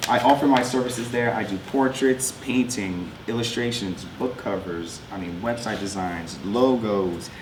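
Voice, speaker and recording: Amid noticeable background noise and audible room echo, a man with a New York accent speaks at a medium pitch with ordinary pitch variation. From New York, Long Island (Westbury). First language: French. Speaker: artist. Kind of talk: talk with slides. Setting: school presentation to artists' guild.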